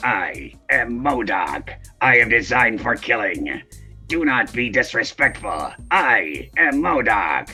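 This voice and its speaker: Someone performs a put-on character voice at a fairly slow pace while faint music plays in the background. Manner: forced through clenched teeth, few notes.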